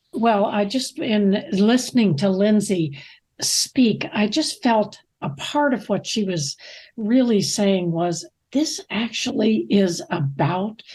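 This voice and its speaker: A woman speaks at a fairly slow pace, with medium pitch, lively intonation and a somewhat breathy quality. The background is quiet. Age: 80s+. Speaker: ministry leader. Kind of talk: casual chat.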